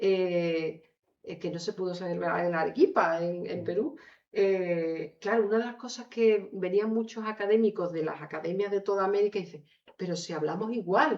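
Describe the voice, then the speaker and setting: A woman with an Andalusian accent at medium pitch and a moderate pace, her loudness swinging widely. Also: ordinary pitch variation. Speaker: author. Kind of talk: book presentation talk. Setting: lecture hall with audience.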